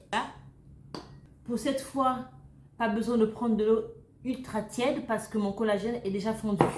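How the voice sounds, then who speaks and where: Over noticeable background noise and audible room echo, a woman with a fairly high pitch speaks in an animated tone, leaving long, frequent pauses. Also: moderate pace. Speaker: YouTuber sharing recipes and beauty tips. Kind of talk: casual cooking tutorial. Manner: chatty, animated.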